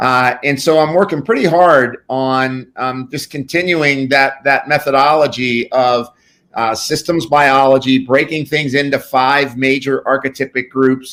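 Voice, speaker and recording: This man has a plain, everyday voice, fairly high in pitch. He talks at a fairly slow pace with hardly any pauses and fairly even intonation. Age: 60s. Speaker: pharmacist and functional medicine practitioner. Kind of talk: interview.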